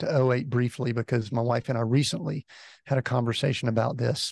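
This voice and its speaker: A man with an American accent speaks at a moderate pace in a somewhat breathy voice, the sound dry and close with no echo and a quiet background. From US South, Atlanta, Georgia. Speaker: executive coach. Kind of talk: interview.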